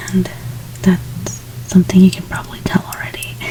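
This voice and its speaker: Soft-spoken, a woman talks at a moderate pace while noticeable background noise plays behind her. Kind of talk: ASMR makeup role play. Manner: repetitive trigger words.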